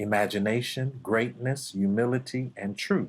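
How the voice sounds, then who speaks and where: A man's normal speaking voice at medium pitch, fairly slow and with fairly even intonation, on a very clean recording with a silent background. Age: 50s. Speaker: martial arts instructor. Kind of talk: podcast interview.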